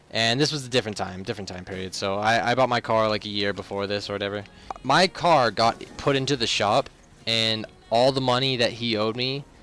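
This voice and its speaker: With noticeable background noise behind him, a man talks at a fairly quick pace in a medium pitch with ordinary pitch variation. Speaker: gaming youtuber. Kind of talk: casual gameplay commentary vlog.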